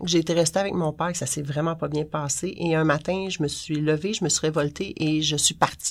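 A woman's very deep, low voice with ordinary pitch variation, in a very clean recording with a silent background. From Quebec, Montreal-Laval area. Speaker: punk culture writer and online community moderator. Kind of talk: casual interview.

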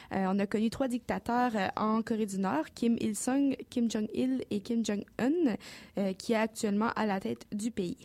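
A woman speaks with a fairly high pitch and a dark, mellow tone, her loudness very even. Her pitch varies in an ordinary way, and the recording is very clean with a silent background. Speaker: news columnist. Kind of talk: news report. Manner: fast.

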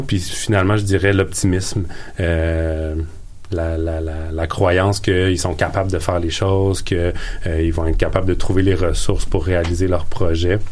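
Audible room echo carries a man's very deep, low voice. He speaks in a monotone, flat intonation at a moderate pace. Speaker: entrepreneurship coach. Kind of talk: radio interview. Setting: studio.

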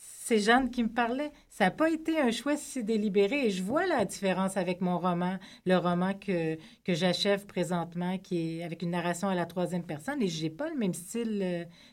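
A woman speaks at a moderate pace and a medium pitch, in a normal speaking voice. The recording is very clean, with a silent background. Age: 40s. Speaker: novelist. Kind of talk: radio interview. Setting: studio.

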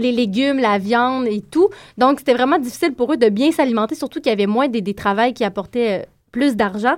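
A woman's high voice at a moderate pace with ordinary pitch variation, on a very clean recording with a silent background. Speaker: radio columnist. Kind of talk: prepared radio segment. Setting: studio.

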